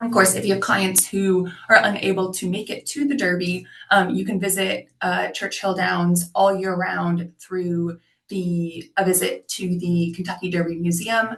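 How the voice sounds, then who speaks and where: A woman with an American accent talks at a moderate pace in a medium pitch, with fairly even intonation and an unremarkable speaking voice. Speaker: tourism representative. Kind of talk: webinar presentation. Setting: video call. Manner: many filler words (um, uh).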